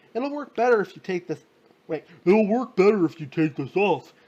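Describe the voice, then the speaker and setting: Putting on a character voice, a man speaks high in pitch with lively intonation at a moderate pace. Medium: read story.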